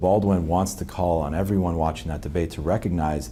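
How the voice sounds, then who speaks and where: A man's very deep, low voice, dark and mellow, with vocal fry, ordinary pitch variation and a fairly quick pace. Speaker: political scientist, author. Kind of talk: interview answer.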